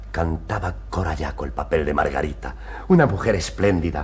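This man talks at a moderate pace in a theatrical tone. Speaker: patient character; actor playing a character. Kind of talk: period TV stage play, dramatic; theatrical monologue in a TV play. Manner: emotional, earnest, theatrical, pleading. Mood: wistful, romantic recollection. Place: studio.

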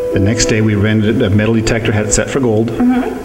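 Loud music plays in the background. A man is speaking over it. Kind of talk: interview answer. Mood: warm, relaxed storytelling. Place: shop. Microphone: handheld.

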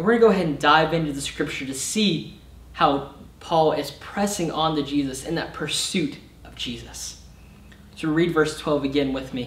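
The voice moves at a moderate pace with ordinary pitch variation and big swings in loudness, and audible room echo can be heard. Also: man. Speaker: summer intern preacher. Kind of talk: sermon. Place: stage.

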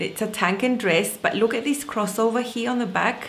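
Faint music can be heard behind the speaker. She is a woman. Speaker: sewing vlogger. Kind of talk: casual vlog chat. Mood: cheerful, excited. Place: home room. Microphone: webcam.

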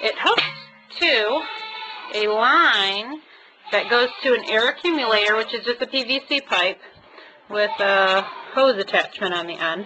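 Music plays in the background of speech at a fairly slow pace. Long pauses come often. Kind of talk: tutorial. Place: farm machine. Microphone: phone near.

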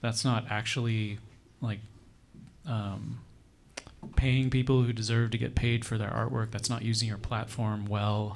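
Flat, monotone delivery at a fairly slow pace with an American accent, long and frequent pauses, and light background noise. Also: man. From Arizona. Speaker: history professor and panel moderator; history professor, panel moderator. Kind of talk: panel discussion. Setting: stage with audience. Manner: halting. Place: hall. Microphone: handheld.

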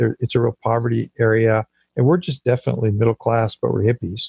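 With an American accent, a man speaks fairly quickly at a medium pitch, his tone dark and mellow and somewhat breathy. Intonation stays fairly even, and the sound is dry and close with no echo. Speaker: pastor and church planter. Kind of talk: interview.

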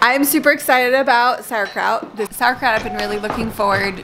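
A woman speaks with lively intonation. Noticeable background noise runs behind her. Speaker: family vlogger. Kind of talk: casual vlog chat. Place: home room. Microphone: phone near.

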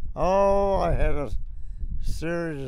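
A man's voice comes through with a dry sound with no echo and light background noise. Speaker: war veteran. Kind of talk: interview answer. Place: plane. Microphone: handheld.

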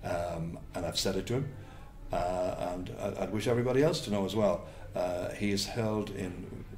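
Faint music plays behind a man with a Cork accent. His voice is very deep and low. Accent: Cork Irish. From Cork, Ireland; Ireland. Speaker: sports commentator. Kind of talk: interview answer. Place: home room.

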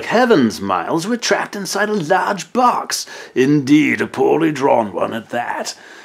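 A man does a put-on character voice with an English accent, high-pitched and swinging very widely in pitch, at a moderate pace. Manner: exaggerated, mock-posh.

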